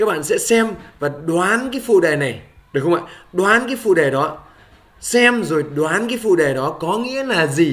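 A man speaks at a fairly slow pace. His high pitch swings very widely. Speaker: English teacher. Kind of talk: tutorial.

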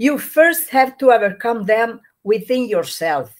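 A woman with an Italian accent, fairly high-pitched and very slow, against a quiet background. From Italy. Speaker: trainer and activist; trainer. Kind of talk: interview. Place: home room.

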